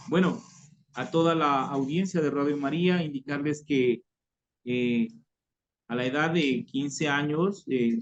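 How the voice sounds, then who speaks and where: Speaking at a very slow pace with long, frequent pauses, a man with an Ecuadorian accent has a fairly high pitch and ordinary pitch variation. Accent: weak local Tulcán. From Ecuador, Tulcán (northern highlands). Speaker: former guerrilla member giving conversion testimony. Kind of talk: testimony. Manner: halting, many repetitions and fillers.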